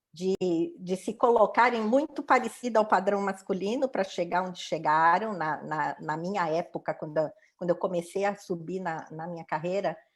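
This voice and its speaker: A woman talks in an unremarkable speaking voice at medium pitch and a moderate pace. Her pitch variation is ordinary, and the recording is very clean with a silent background. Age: 60s. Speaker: diversity and inclusion professional. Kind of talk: interview testimony.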